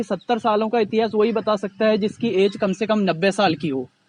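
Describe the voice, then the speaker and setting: The man's pitch is high. It varies in an ordinary way. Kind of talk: interviewer, casual talk to camera.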